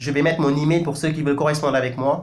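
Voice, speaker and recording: A man speaks with a Senegalese accent. Audible room echo fills the recording. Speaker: news website editor and commentator. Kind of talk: video commentary monologue. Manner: emphatic, impassioned; frequent hesitations and self-corrections.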